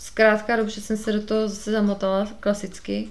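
Moderate pace and monotone, flat intonation from a woman's medium-pitched voice. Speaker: podcast host. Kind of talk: solo monologue podcast.

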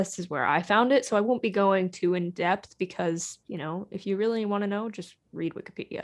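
Against a quiet background, a woman with an unremarkable speaking voice talks at medium pitch. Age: 20s. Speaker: podcast host. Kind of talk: casual chat.

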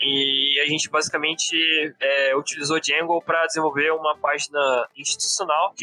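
At a moderate pace, a man with a fairly high pitch talks in a dry, close sound with no echo, though noticeable background noise comes through. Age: 20s. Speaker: back-end software developer. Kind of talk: podcast interview.

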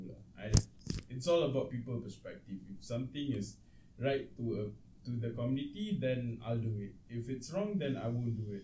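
This man's voice has a dark, mellow tone and is somewhat breathy. Audible room echo surrounds it. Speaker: podcast co-host. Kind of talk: casual chat.

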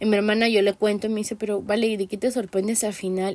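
On a very clean recording with a silent background, a woman speaks at a fairly high pitch in a dry, close sound with no echo. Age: 20s. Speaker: podcast host. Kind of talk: solo commentary podcast. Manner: halting.

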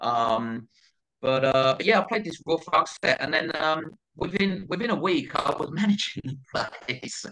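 With a London accent, a man speaks at a fairly high pitch in a bright, sharp tone with lively intonation. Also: fairly slow pace. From northeast London, England. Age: 40s. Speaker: DJ. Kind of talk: casual chat. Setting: podcast recorded in tape mode.

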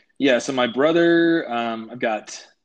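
Over a quiet background, a man with an unremarkable speaking voice talks at a fairly slow pace, medium in pitch with ordinary pitch variation. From US, military family, moved around; high school in Colorado. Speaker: army veteran and pilot. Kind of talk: casual interview.

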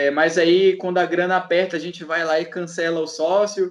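This man speaks at a high pitch. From Pará, Brazil (Belém periphery). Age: 20s. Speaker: history graduate and brega researcher. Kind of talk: casual chat.

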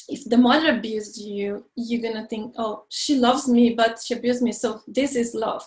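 This woman speaks with a Brazilian accent at a fairly slow pace. Her pitch is high. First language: Portuguese. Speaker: life coach and healer. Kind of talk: interview, casual chat.

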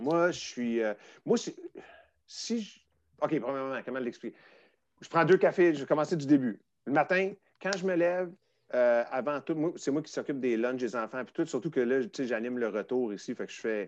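A man with a Quebec accent, fairly high pitch, lively intonation, big swings in loudness, a moderate pace, and long, frequent pauses. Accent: Québécois French. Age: 40s. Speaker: former music TV host. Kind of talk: casual chat.

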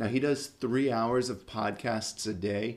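Recorded very cleanly with a silent background, a man with a plain, everyday voice talks at a moderate pace with fairly even intonation. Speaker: military finance podcaster. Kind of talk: podcast monologue, recommendations. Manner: casual, conversational.

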